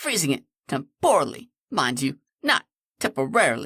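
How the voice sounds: This clip has a natural reading voice and a quiet background.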